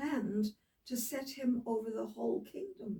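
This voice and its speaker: This woman has a dark, mellow tone, a fairly high pitch and vocal fry. She talks at a moderate pace with lively intonation. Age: 80s+. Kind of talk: Bible reading aloud with casual asides.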